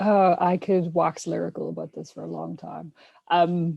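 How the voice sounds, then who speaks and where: A woman with a strong Irish accent, in a dry, close sound with no echo. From Ireland. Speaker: scientist podcast co-host. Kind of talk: casual panel discussion.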